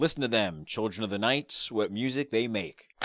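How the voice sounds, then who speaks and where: A man speaks with lively intonation, his voice dry and free of echo over noticeable background noise. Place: studio. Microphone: studio mic.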